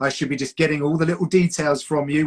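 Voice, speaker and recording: A man with a Home Counties accent speaks at a fairly high pitch, the sound dry and close with no echo. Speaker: combat sports broadcaster and commentator. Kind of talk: casual chat.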